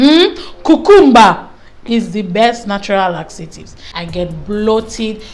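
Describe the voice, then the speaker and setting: Her pitch is fairly high and swings very widely. This woman's voice comes with audible room echo. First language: not English. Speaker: beauty vlogger. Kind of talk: casual chat. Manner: animated.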